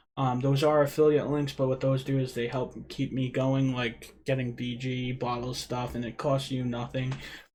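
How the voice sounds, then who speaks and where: Speaking in a Rhode Island accent, a man delivers his words at a moderate pace and medium pitch with hardly any pauses, his somewhat breathy voice flat and monotone. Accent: Rhode Island, New England. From Rhode Island, US. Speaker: e-liquid DIY youtuber. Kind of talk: live stream chat. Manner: casual, conversational.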